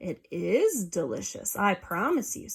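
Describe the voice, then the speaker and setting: The pace is fairly slow. The voice is a put-on character one. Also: woman, medium pitch for a woman. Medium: read story.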